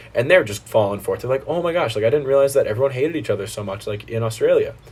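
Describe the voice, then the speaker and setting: An animated man with an American accent talks at a very fast pace and a fairly high pitch. His intonation is lively, with music in the background. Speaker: college student. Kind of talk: casual chat.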